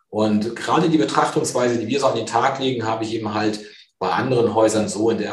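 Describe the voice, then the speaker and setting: A man speaks at a fairly quick pace, with audible echo from the room. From northern Germany, near Cuxhaven. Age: 50s. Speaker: fund sales executive. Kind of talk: interview.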